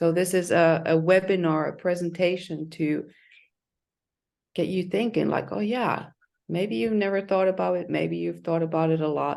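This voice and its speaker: In a non-native accent, a woman talks at a moderate pace with a fairly low pitch. Her pitch variation is ordinary, and the background is quiet. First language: not English. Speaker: leadership coach. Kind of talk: webinar presentation. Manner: halting.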